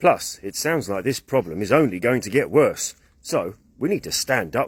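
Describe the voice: In plain reading aloud, the intonation is lively.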